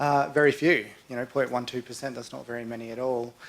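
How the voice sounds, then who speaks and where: A man at a medium pitch with an Australian accent, fairly even intonation and a fairly quick pace. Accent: Australian, noticeable to audience. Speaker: conservation researcher. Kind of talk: conference talk. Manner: hesitant, many fillers.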